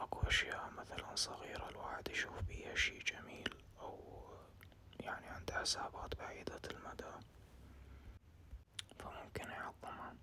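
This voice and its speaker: Whispering in an Iraqi accent, the speaker goes at a fairly slow pace with long, frequent pauses against noticeable background noise. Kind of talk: ASMR casual chat. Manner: whispered, soft-spoken.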